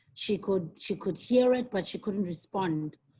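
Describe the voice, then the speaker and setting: A woman talks at a fairly slow pace in a medium pitch. Her voice is somewhat breathy against a quiet background. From South Africa. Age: 50s. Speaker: guest lecturer, tourism marketing executive. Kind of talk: online guest lecture. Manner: hesitant, many fillers.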